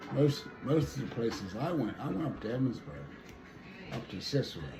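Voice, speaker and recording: With a western Pennsylvania accent, a man speaks at a medium pitch and a fairly quick pace, his pitch swinging very widely, amid noticeable background noise and audible room echo. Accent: rural western Pennsylvania American. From rural western Pennsylvania. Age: 80s+. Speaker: local elder interviewee. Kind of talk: interview.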